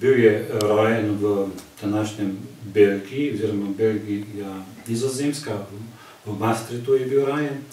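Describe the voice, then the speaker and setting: Audible room echo and noticeable background noise surround this recording. A man speaks at a fairly low pitch with fairly even intonation. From Slovenia, Zreče area. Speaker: cultural society member. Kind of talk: casual chat.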